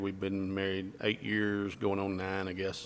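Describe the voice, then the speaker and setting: With an Alabama accent, a man talks at a moderate pace in a fairly low pitch. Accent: Southern US (Alabama). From US South. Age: 60s. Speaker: realtor and retired police detective. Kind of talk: radio interview. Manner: halting.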